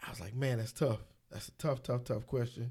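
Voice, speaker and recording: Speaking at a fairly quick pace, a man sounds somewhat breathy on a very clean recording with a silent background. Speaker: podcast co-host. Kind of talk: casual chat. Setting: studio.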